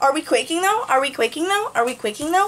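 A woman does a squeaky put-on character voice at an extremely high pitch, racing along very fast with very wide pitch swings over light background noise. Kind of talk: casual vlog chat. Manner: repetitive, slangy, playful.

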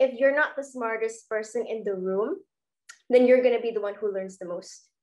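A woman's fairly high, dark and mellow voice at a fairly quick pace against a quiet background. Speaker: student host of university webinar. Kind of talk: hosted online talk show. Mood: cheerful, friendly. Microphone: webcam.

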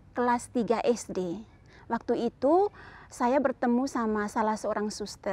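Very slowly, a woman speaks at a high pitch in a dark, mellow tone with ordinary pitch variation, the sound dry with no echo. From Flores, East Nusa Tenggara, Indonesia; East Nusa Tenggara, Indonesia. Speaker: nun. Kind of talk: testimony. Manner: casual, hesitant with fillers. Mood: calm, warm. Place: garden. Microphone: lapel.

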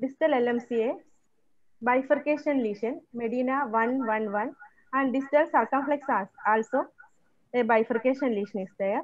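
A woman talks in a high pitch with ordinary pitch variation. Her delivery is fairly slow, with long, frequent pauses. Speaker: cath lab technologist. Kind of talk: lecture. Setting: video call.

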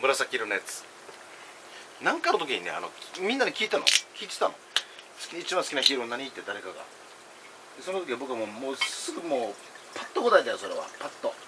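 A man speaks at a fairly quick pace with big swings in loudness. Loud background noise runs behind him. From Okinawa/Kagoshima region. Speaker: food and drink vlogger; drink vlogger. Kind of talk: casual solo vlog while eating and drinking. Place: home room. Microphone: phone near.

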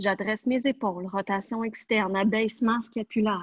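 A woman with a Quebec accent, somewhat breathy, with fairly even intonation. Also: quiet background, dry sound with no echo. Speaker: pilates instructor. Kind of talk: online fitness class instruction. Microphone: earbuds.

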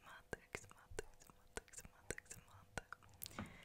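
Whispering at a fairly slow pace, the woman speaks. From Czech Republic. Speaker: tour guide. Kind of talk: ASMR. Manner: whispered. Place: home room. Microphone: studio mic.

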